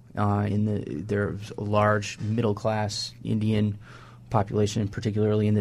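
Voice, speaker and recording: A man speaks with an American accent at a moderate pace. His voice is fairly low-pitched and somewhat breathy. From Wisconsin, US Midwest. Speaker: journalist and author. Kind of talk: radio panel discussion.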